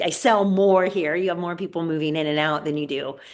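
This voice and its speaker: A woman with a plain, everyday voice speaks at a moderate pace in a fairly low pitch, with ordinary pitch variation and a quiet background. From US Pacific Northwest, Washington State. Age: 50s. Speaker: real estate agent and podcast host. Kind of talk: casual interview chat. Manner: many fillers and restarts.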